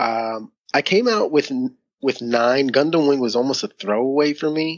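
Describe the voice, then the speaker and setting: A man with a Philadelphia accent, fairly high in pitch, moderate pace, lively intonation. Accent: Philadelphia American English. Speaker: podcaster, community volunteer. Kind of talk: podcast interview answer. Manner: soft-spoken.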